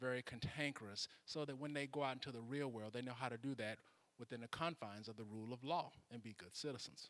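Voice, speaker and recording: A man talks very fast with an American accent. His pitch is medium and his intonation fairly even. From US South, Mississippi. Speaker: political candidate. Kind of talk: candidate speech. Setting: church hall with audience.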